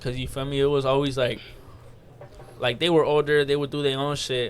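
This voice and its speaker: With a Spanish accent, a man speaks at a fairly quick pace in a fairly high pitch. His intonation is monotone and flat. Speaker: podcast co-host. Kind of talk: casual chat. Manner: casual, filler-heavy.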